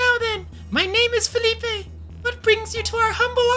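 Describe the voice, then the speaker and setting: A man uses a put-on character voice at an extremely high pitch, speaking at a moderate pace. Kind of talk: formal, polite.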